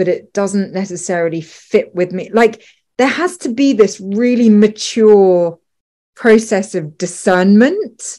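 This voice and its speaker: A woman with a normal speaking voice talks at a fairly slow pace and a medium pitch. The recording is very clean, with a silent background. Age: 40s. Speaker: podcast host. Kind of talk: interview.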